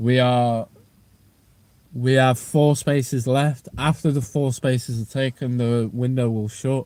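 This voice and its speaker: A man speaks at a fairly slow pace in a northwest English accent, his pitch medium. His tone is dark and mellow, with fairly even intonation. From northwest England. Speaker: strength and conditioning coach. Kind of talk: livestream chat. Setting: outdoors outside a gym. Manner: casual, repetitive.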